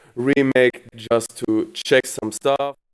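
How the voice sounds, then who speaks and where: With a non-native accent, a man speaks in a monotone, flat intonation. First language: not English. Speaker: plugin developer presenting product. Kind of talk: product presentation. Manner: halting, many fillers.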